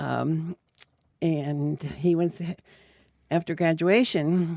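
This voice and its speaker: A woman with an American accent, her fairly low pitch and dark, mellow tone carried at a very slow pace with fairly even intonation. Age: 80s+. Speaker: retired dairy farmer. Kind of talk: oral history interview. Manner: halting, many fillers.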